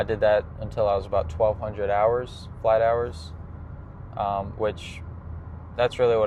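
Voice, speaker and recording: Speaking with an American accent, a man uses a normal speaking voice at a fairly low pitch. His pace is moderate and his intonation fairly even. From US South, South Carolina then Florida. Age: 20s. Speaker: pilot and family vlogger. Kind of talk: personal vlog monologue. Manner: casual with frequent fillers.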